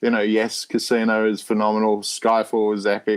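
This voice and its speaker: The speaker is a man with an Australian accent and a fairly low voice. He keeps a moderate pace. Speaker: Bond fan site editor. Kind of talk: casual interview chat. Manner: animated.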